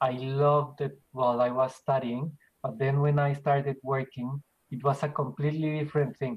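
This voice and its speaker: A man with a Spanish accent speaks at a moderate pace in a fairly high, somewhat breathy voice, his intonation flat and monotone. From Colombia (Bogota). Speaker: business owner. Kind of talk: interview.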